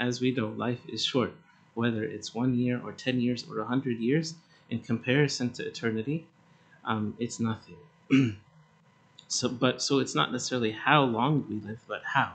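Here a man speaks at a moderate pace. His intonation stays fairly even. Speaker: priest. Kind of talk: sermon. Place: church. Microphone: podium.

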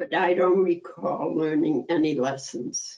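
Speaking very slowly with vocal fry, a woman makes very wide pitch swings against a quiet background. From Antwerp, Belgium. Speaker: Holocaust survivor. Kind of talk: survivor testimony talk. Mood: calm, grave. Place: home room. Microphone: webcam.

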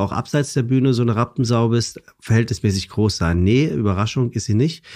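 Against a quiet background, a man speaks in a plain, everyday voice at a medium pitch, with ordinary pitch variation and a moderate pace. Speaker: presenter and podcaster. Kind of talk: casual chat.

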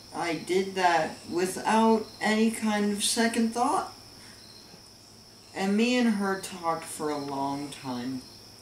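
Over light background noise and audible room echo, a man with a high voice speaks at a very slow pace. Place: home room. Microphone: camera far.

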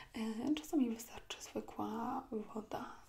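A woman speaks in a soft-spoken, calm tone. Her voice has a dark, mellow tone. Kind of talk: ASMR roleplay. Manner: soft, calm ASMR speaking voice. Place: home room. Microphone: lapel.

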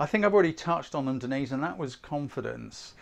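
Vocal fry, a fairly quick pace and lively intonation. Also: man, medium pitch for a man.

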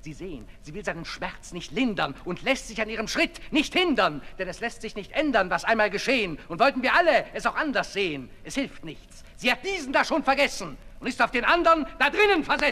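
In a put-on character voice with a bright, sharp tone, the pitch swings widely. The pace is fairly quick, with few pauses. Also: man, high pitch for a man.

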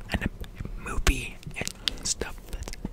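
A man mumbles in a whisper. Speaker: ASMR creator. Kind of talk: whispered ASMR chat. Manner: close mumbled ASMR whisper. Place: home room. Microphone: studio mic.

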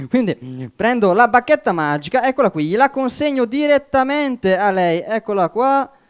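Against a quiet background, a man talks at an extremely high pitch and moderate pace with lively intonation and hardly any pauses. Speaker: amateur magician. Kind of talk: magic show patter. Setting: stage with audience. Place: stage.

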